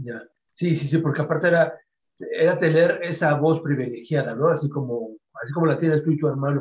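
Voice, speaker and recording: A man's normal speaking voice, fairly quick in pace and fairly even in intonation. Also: fairly high pitch for a man. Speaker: internet radio host. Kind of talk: interview.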